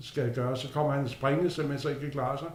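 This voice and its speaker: Amid noticeable background noise and audible room echo, a man talks at a fairly high pitch. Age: 60s. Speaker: retiree. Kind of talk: casual interview.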